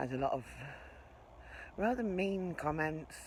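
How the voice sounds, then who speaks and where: Soft-spoken speech in an English accent unfolds at a very slow pace with lively intonation and audible room echo. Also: woman. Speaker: narrowboat vlogger. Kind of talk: vlog narration. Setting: outdoors. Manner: casual.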